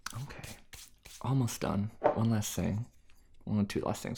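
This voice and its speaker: Somewhat breathy and fairly low in pitch, a man speaks at a moderate pace with lively intonation. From US Midwest/South. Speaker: food ASMR YouTuber. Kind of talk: casual cooking chat. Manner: casual, chatty.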